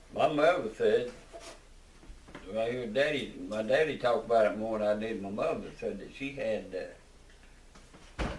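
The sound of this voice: A man's fairly low voice at a moderate pace, with long, frequent pauses and audible room echo. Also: ordinary pitch variation.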